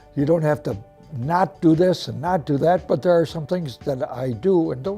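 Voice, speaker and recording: Music plays in the background while a man talks. His pitch is fairly high and his pace moderate. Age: 80s+. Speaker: retired active senior. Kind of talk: interview answer.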